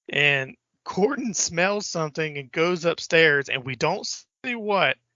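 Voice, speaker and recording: Here is a man with an American accent. He speaks at a fairly slow pace. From Richmond, Virginia, US South. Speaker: podcast co-host. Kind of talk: casual chat.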